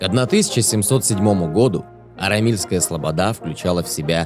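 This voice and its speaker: Music plays in the background as a man speaks at a moderate pace and fairly low pitch, with ordinary pitch variation. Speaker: documentary narrator. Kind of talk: documentary narration.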